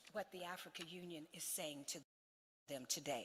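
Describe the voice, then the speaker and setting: Bright and sharp in tone, a woman speaks with an American accent. Her pace is moderate. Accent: non-Ghanaian (American). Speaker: diplomat, head of diaspora organization. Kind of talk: conference speech. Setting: stage with audience at summit.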